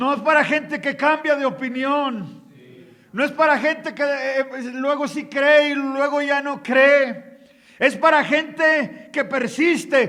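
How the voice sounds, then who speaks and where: A man speaks in a Mexican accent at a very slow pace. His voice is extremely high in pitch, with a bright, sharp tone. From Mexico. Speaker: pastor and missionary. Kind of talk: sermon. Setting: conference hall with audience.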